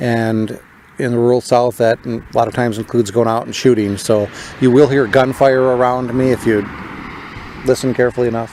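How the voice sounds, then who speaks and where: Over noticeable background noise, a man with an American accent speaks fairly quickly at a medium pitch in a monotone, flat way. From northern US. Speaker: political podcaster. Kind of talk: podcast monologue. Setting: outdoors in a cemetery.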